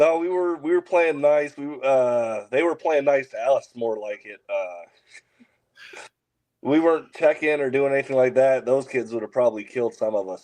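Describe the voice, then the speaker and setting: An ordinary speaking voice with an American accent moves at a moderate pace, showing ordinary pitch variation and big swings in loudness. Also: man, fairly high pitch for a man. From US Midwest, Kansas City. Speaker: MMA and bare-knuckle fighter, military veteran. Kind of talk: casual interview chat.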